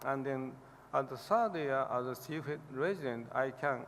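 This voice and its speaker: A man speaks with a Japanese accent at a moderate pace. His voice is fairly high in pitch and shows ordinary pitch variation. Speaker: liver specialist professor receiving award. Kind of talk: award acceptance speech. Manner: halting.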